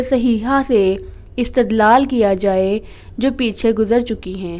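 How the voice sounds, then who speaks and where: A woman speaks with ordinary pitch variation. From Pakistan. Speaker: voice-over artist. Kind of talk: religious sermon narration.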